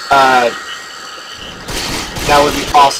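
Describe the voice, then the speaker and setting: A man talks over noticeable background noise. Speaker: gaming YouTuber. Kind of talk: gameplay commentary. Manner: stutters a lot; halting, many fillers.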